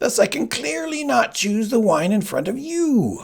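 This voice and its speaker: A man's raspy put-on character voice, high-pitched, with very wide pitch swings and a moderate pace. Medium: read story. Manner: smug, self-satisfied.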